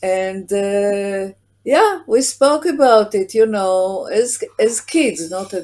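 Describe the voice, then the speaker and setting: A woman speaks at a very slow pace in a fairly high pitch, her intonation lively over music playing in the background. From Israel. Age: 70s. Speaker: prosecutor's daughter. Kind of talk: interview. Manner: hesitant.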